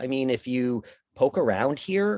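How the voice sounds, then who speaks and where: The man's pitch rises and falls in a normal way, and little can be heard behind him. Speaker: casting director leading a mindfulness talk. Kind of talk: guided talk. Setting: video call.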